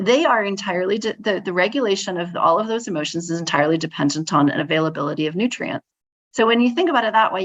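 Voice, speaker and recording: Speaking at a fairly quick pace, a woman uses lively intonation at a medium pitch. The background is quiet. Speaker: psychology professor and clinical psychologist. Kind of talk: podcast interview. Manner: halting, many restarts and fillers.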